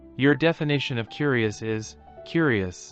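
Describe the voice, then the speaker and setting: A man's put-on character voice at medium pitch, with faint music in the background. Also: moderate pace. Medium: video game. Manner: terse, deadpan.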